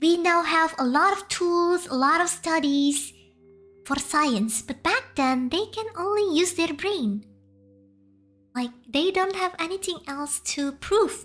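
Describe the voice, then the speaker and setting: A woman with an extremely high pitch and lively intonation, speaking very slowly with long, frequent pauses. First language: Indonesian. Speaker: VTuber streamer. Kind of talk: casual live stream storytelling. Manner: halting, frequent restarts.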